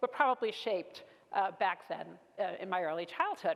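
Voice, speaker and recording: Speaking in a Brooklyn accent, a woman has a medium pitch and a fairly quick pace. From New York, Brooklyn. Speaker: keynote speaker, business executive. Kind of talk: keynote speech. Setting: stage with audience.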